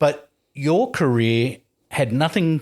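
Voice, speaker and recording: A man with an Australian accent talks at a fairly high pitch with ordinary pitch variation. The recording is very clean, with a silent background. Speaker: podcast host, former journalist. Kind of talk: casual interview chat.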